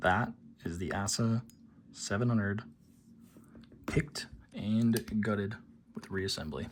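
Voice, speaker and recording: A man talks quietly at a fairly low pitch. His fairly slow pace includes long, frequent pauses. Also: ordinary pitch variation. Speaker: lockpicking hobbyist youtuber. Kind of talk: casual tutorial demonstration. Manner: quiet, subdued; hesitant, many fillers.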